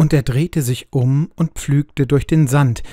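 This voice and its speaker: A somewhat breathy, dark, mellow tone at a fairly slow pace. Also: man. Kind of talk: audiobook reading of a literary short story, narrated aloud. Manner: amateur reader, not a trained speaker.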